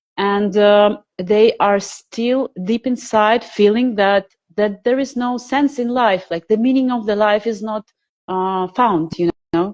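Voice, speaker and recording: The speaker talks at a very slow pace with a non-native accent. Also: woman, fairly high pitch for a woman, ordinary pitch variation. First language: not English. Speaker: alternative health researcher and social media creator. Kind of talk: interview conversation. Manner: halting.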